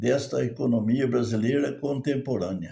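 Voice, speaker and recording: Somewhat breathy and dark, mellow in tone, a man talks at a fairly slow pace with ordinary pitch variation. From Brazil. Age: 80s+. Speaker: retired farmer and merchant. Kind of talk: spoken commentary monologue. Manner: halting.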